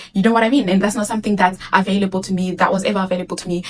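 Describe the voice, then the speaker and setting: A woman speaks with a Zimbabwean accent in a medium pitch. Her intonation is fairly even, and there is noticeable background noise. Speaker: vlogger. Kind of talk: casual talk to camera.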